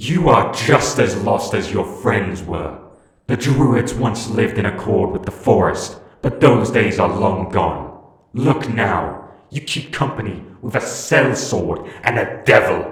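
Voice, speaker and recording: Putting on a character voice, a man speaks at a medium pitch and a fairly slow pace, with a slight echo. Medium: read story.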